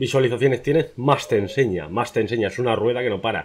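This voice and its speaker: The pitch shifts with ordinary variation. This man delivers his words at a very fast pace. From Spain. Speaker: youtuber, interviewer. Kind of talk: interview. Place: home room.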